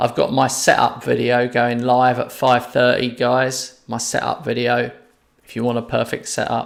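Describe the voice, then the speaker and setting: A man at a medium pitch and moderate pace, with vocal fry and monotone, flat intonation. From London. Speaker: gaming streamer. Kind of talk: live gameplay stream chat. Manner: casual, conversational.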